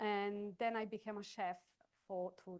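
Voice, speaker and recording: A woman is speaking. She has a non-native accent. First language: not English. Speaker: chef. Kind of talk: cooking demonstration. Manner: halting.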